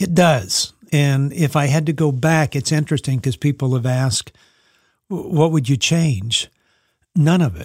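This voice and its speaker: A man with a Southern US accent and a fairly high pitch speaks at a fairly slow pace, somewhat breathy, with ordinary pitch variation. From US South (Texas, Louisiana, New Orleans). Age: 60s. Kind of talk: interview conversation.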